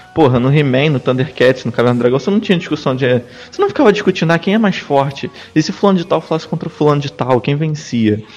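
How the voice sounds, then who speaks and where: Through noticeable background noise, a man talks very fast at a fairly high pitch with lively intonation. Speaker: podcast panelist. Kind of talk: casual chat.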